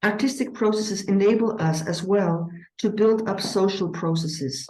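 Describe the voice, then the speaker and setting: Amid audible room echo, a woman with a non-native accent talks at a moderate pace and a medium pitch, with ordinary pitch variation. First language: not English. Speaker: eurythmy teacher. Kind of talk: conference presentation. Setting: conference with audience. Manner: hesitant, with frequent fillers.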